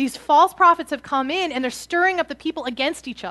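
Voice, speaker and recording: A woman's raised, projected voice, high in pitch with a bright, sharp tone. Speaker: preacher. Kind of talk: sermon.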